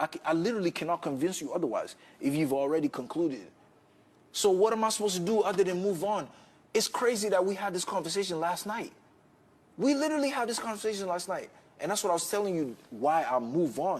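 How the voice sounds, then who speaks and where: Loud and lively in intonation, a man speaks very fast at a high pitch. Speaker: reality TV contestant. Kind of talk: heated argument.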